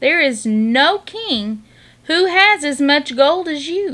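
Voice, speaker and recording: A put-on character voice, high in pitch and very slow in pace. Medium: read story. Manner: measured, solemn.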